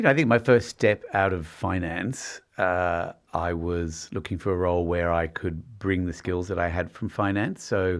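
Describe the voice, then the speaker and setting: A man with an Australian accent speaks at a moderate pace in a very deep, low voice, with hardly any pauses. His intonation stays fairly even over a quiet background. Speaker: company finance executive. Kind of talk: podcast interview.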